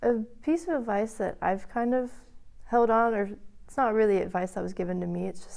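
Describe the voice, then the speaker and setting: With an American accent, a woman speaks in a dark, mellow tone at a moderate pace with ordinary pitch variation. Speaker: college student. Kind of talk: interview.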